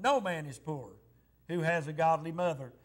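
At a moderate pace, a man is talking. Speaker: pastor. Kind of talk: sermon. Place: church. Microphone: lapel.

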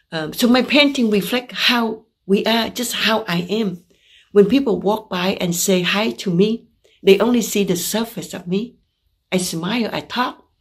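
In a Vietnamese accent, a woman speaks at a fairly slow pace with a medium pitch and ordinary pitch variation. Her voice is somewhat breathy, and the background is quiet. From Vietnam (Saigon). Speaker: visual artist. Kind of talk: artist talk presentation; artist talk about own paintings. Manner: halting, with fillers.

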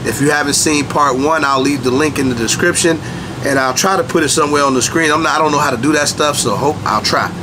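With clear background noise behind him, a man talks at a fast pace in a fairly high pitch, showing ordinary pitch variation.

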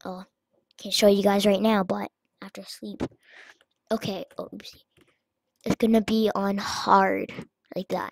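A fairly slow pace broken by long, frequent pauses. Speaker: gaming YouTuber. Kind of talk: let's play commentary. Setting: home recording with webcam. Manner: animated; loud.

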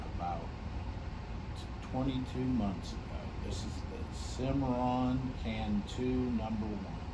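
Loud background noise sits behind a man speaking. He goes at a very slow pace with long, frequent pauses. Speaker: oil producer. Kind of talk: infomercial pitch. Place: office. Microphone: camera far.

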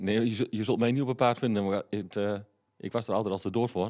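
With an unremarkable speaking voice, a man talks at a fairly quick pace, his pitch fairly low with ordinary pitch variation, against a quiet background. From Haaksbergen, Twente, eastern Netherlands; Netherlands. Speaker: local politician. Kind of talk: interview. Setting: studio. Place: studio. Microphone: handheld.

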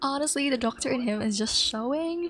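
This woman's high-pitched voice moves at a moderate pace. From Philippines. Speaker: gaming YouTuber. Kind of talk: let's play narration. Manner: animated.

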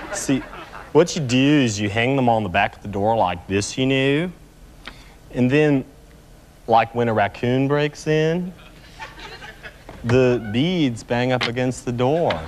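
A man does a put-on character voice, drawling at a fairly slow pace with long, frequent pauses and a medium pitch. His loudness swings widely, and clear background noise can be heard. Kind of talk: comic character sketch. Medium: comedy sketch. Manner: spacey, drawling, filler-heavy, earnest.

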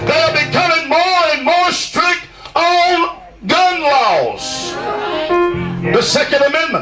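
Over clear background music, a man speaks at a very slow pace in an extremely high pitch, raising and projecting his voice, with ordinary pitch variation and long, frequent pauses. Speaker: preacher. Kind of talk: revival sermon. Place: tent.

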